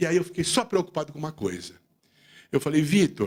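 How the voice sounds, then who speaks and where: This man's voice sits at a fairly high pitch. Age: 60s. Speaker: accountant and business leader giving a talk. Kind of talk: speech to audience. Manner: animated.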